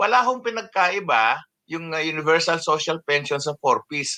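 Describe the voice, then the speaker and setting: Recorded dry and close with no echo, a man speaks at a fairly slow pace in a raised, projected voice with a bright, sharp tone. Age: old. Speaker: senior citizens' advocate. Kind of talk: interview. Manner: halting, many fillers.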